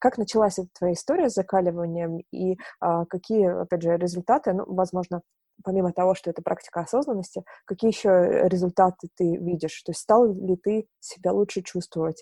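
A woman's dark, mellow voice at medium pitch, with ordinary pitch variation, a fairly quick pace, and a dry, close sound with no echo. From Novorossiysk, southern Russia. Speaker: podcast interviewer. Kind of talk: interview, conversational.

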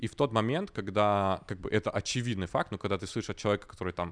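With a normal speaking voice, a man talks at a fairly quick pace and a fairly low pitch, using ordinary pitch variation against a quiet background. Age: 20s. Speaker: online school producer. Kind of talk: casual podcast interview.

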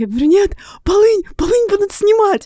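A woman's dark, mellow tone in a dry, close sound with no echo. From Russia, Tula region (early years in Chukotka). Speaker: writer and creative writing teacher. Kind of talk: interview.

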